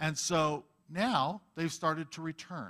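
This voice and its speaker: Bright and sharp in tone, a man's voice comes across. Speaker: Bible teacher. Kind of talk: sermon. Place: church. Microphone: headset.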